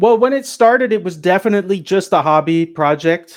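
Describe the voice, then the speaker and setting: A man with an American accent, an ordinary speaking voice, lively intonation and a moderate pace against a quiet background. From US Pacific Northwest. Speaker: cannabis media entrepreneur. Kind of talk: podcast interview.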